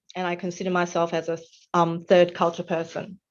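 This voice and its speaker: In an Australian accent, a woman speaks at a medium pitch. The background is quiet. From Australia, Melbourne. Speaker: webinar facilitator, nonprofit volunteer. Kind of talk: presentation. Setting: online webinar. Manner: hesitant, frequent um fillers.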